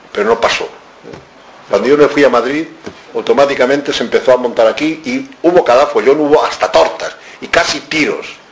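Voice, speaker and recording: Over noticeable background noise, a man talks at a fairly quick pace broken by long, frequent pauses. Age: 70s. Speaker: author. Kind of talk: lecture. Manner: animated.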